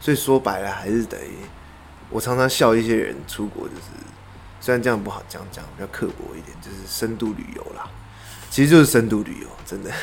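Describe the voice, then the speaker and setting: Fairly quick speech from a man with a Taiwanese accent, amid noticeable background noise. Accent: Taiwanese Mandarin. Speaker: interior designer. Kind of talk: interview.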